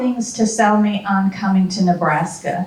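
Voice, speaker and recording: Amid noticeable background noise and audible room echo, a woman speaks with a Southern US accent. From US South. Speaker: university administrator. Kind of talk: talk to a retiree group. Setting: talk with audience, handheld mic.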